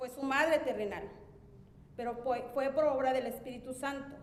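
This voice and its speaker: Audible room echo surrounds a woman with a high pitch. She talks at a moderate pace in a monotone, flat intonation. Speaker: church member preaching. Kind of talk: sermon.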